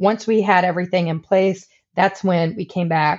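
A woman has an unremarkable speaking voice. She talks at a moderate pace. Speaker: nurse and tattoo artist, cancer survivor. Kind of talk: interview testimony.

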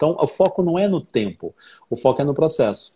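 Somewhat breathy, a man's fairly high voice carries a dark, mellow tone. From southern and northern Brazil (Paraná, Rondônia). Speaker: English teacher and author. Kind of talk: casual chat.

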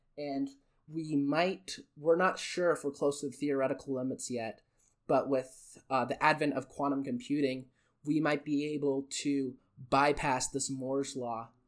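With a Western US accent, a man talks at a fairly slow pace with fairly even intonation in a very clean recording with a silent background. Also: fairly high pitch for a man. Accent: American (Western US). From Utah and China. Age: young. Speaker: podcast host, university student. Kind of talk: casual solo monologue. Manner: halting, with frequent fillers and word slips; unscripted, off the cuff.

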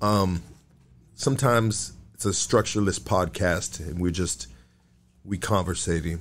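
A man with a very deep, low pitch and vocal fry speaks at a fairly slow pace with long, frequent pauses, in a very clean recording with a silent background. His tone is animated and his intonation lively. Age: 40s. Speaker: podcast host. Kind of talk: casual chat. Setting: podcast studio, live stream. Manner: animated, profane slang-heavy.

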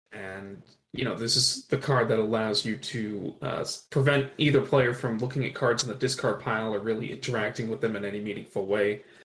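With an unremarkable speaking voice, a man talks at a fairly quick pace in medium pitch and fairly even intonation. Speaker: podcast co-host. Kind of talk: casual chat. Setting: remote recording.

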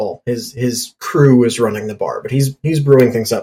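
This man has a fairly high pitch. His voice is somewhat breathy. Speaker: podcast co-host. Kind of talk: casual chat.

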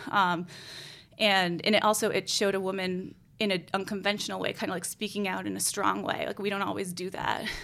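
Her tone is bright and sharp, with vocal fry at a medium pitch for a woman. She speaks fairly quickly in a flat, monotone way. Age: 30s. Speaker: newspaper editor and documentary producer. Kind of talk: interview. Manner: casual, many filler words.

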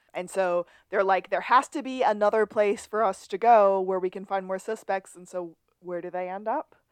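A woman's medium-pitched voice at a moderate pace, with big swings in loudness, in a dry, close sound with no echo and a quiet background. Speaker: podcast host. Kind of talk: casual chat. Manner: animated.

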